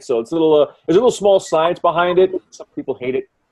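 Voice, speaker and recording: Speaking very fast, a man with a Canadian accent uses lively intonation. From Canada. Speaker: MMA commentator. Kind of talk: interview.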